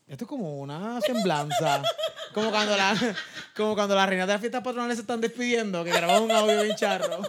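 A man talks at a very fast pace in a high pitch, with ordinary pitch variation. Noticeable background noise runs behind him. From Puerto Rico, Peñuelas. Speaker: comedian. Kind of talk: casual chat.

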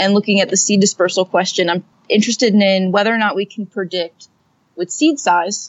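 A woman speaks at medium pitch. Her pace is fairly quick. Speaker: botany PhD student. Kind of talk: interview.

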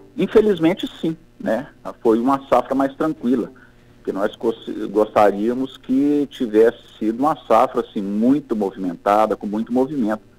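A man with a medium pitch talks at a moderate speed, his pitch varying in an ordinary way. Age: 50s. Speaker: coffee farmer. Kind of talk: interview. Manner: halting, many fillers.

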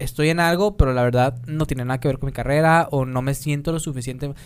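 A man's fairly high-pitched, fairly quick delivery in a normal speaking voice. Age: 20s. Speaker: podcast host. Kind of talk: casual chat; reading aloud.

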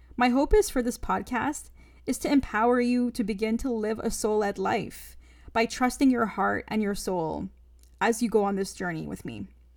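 At a moderate speed, a woman's speech is captured in a very clean recording against a silent background. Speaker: podcast host, spiritual coach. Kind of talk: personal storytelling monologue.

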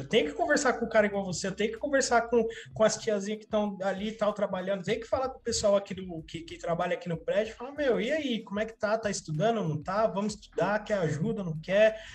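The man's voice is high-pitched, with ordinary pitch variation. He speaks at a very fast pace with hardly any pauses. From São Paulo, Capão Redondo (South Zone). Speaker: community activist. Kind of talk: casual chat. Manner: halting, repeats words.

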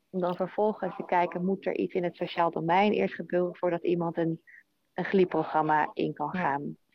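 The voice is a woman's, pitched in the medium range. Her intonation is fairly even. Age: 30s. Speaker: health insurer project manager. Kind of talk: interview. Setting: online call.

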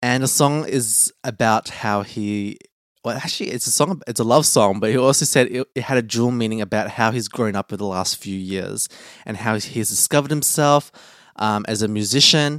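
This man's medium-pitched voice holds a moderate pace, its pitch shifting a normal amount. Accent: Australian. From Australia. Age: young. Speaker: podcast host. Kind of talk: casual chat.

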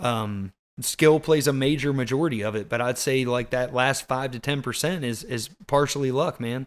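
A man with a plain, everyday voice talks at a moderate pace and medium pitch, with ordinary pitch variation and hardly any pauses. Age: 30s. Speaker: hunter and podcast host. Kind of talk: casual chat.

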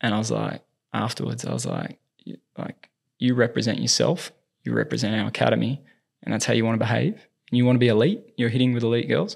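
The speech comes in an Australian accent at a very fast pace. Long, frequent pauses break it up. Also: man. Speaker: movement specialist and tennis coach. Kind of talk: casual interview chat.

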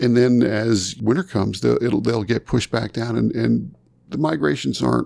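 With an American accent, a man speaks at medium pitch and a moderate pace, his dark, mellow tone carrying vocal fry and lively intonation. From southern New York, rural area north of New York City. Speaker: conservation nonprofit founder and writer. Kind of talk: interview conversation.

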